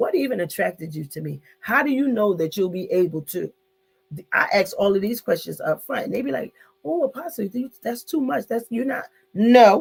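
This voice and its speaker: A woman's fairly high voice with vocal fry and very wide pitch swings, at a moderate pace. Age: 60s. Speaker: online talk show host, apostle. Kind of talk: live online discussion.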